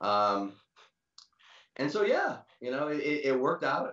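Against a quiet background, a man speaks with audible room echo. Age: 60s. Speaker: drummer; interview guest. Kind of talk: casual interview. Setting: video call. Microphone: video call.

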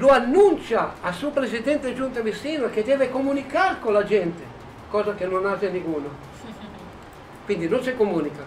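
A man with a high voice speaks with very wide pitch swings and long, frequent pauses over noticeable background noise. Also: moderate pace. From Italy. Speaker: neighborhood association president. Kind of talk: interview.

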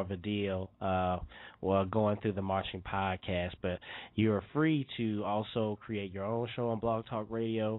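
In a plain, everyday voice, a man with a fairly low pitch talks at a fairly slow pace with fairly even intonation. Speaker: podcast host. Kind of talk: show announcements; casual interview.

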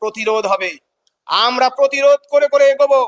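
A man's fairly even intonation in a dry, close sound with no echo. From West Bengal, India. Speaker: teacher and protest leader. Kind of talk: impassioned protest statement to reporter. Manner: fiery, emphatic.

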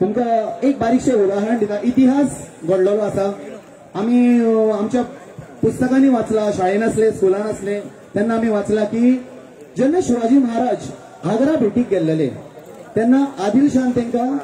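Over light background noise, a man speaks at an extremely high pitch. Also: ordinary pitch variation. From Goa, India. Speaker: event announcer. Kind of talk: rally compering. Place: stage. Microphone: pa.

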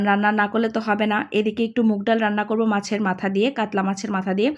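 A woman speaks with a fairly high pitch. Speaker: cooking vlogger. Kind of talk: vlog narration.

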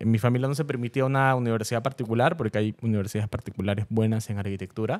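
Here a man talks at a very fast pace with ordinary pitch variation. The background is quiet. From Peru. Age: 20s. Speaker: content creator. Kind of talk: interview. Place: studio. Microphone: studio mic.

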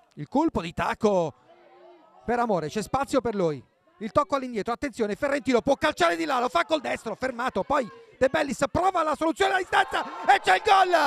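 A man's extremely high, animated voice with very wide pitch swings at a fairly quick pace. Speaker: football commentator. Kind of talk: live football commentary. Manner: animated, rising and falling with the action.

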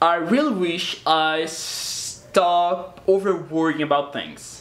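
A man talks in a high pitch with a Portuguese accent. Noticeable background noise can be heard. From Brazil. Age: 20s. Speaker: YouTuber. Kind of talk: casual vlog talk to camera. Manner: halting, repeats words.

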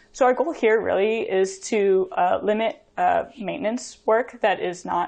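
A woman at a fairly slow pace, lively intonation, against a quiet background. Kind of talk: conference talk. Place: home room. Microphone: webcam.

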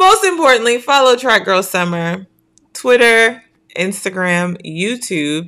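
A woman's bright, sharp voice at a fairly slow pace, with ordinary pitch variation over a quiet background. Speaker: show host. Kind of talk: casual live show hosting. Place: home room.

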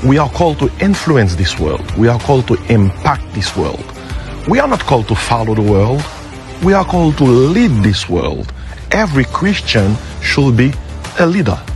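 Clear music plays in the background as the voice moves at a moderate pace, the sound dry with no echo. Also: man. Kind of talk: promotional address to camera. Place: waterside.

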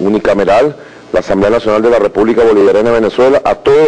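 A man talks at a very fast pace. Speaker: government minister. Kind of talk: press statement. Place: hall. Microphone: handheld.

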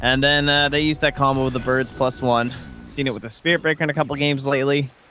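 This man talks at a very fast pace and a medium pitch. Music plays in the background. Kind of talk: esports co-commentary. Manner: conversational, analytical.

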